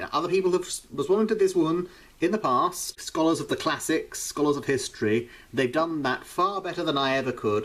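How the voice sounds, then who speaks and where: With a British accent, a man talks at a fairly quick pace in a high voice with lively intonation. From Britain. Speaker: YouTuber reacting to videos. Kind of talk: vlog commentary.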